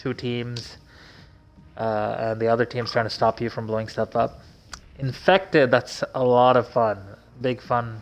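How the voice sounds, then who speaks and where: Pausing long and often, a man with a medium pitch talks at a fairly slow pace with fairly even intonation. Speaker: gamer streamer. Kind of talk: casual game walkthrough commentary.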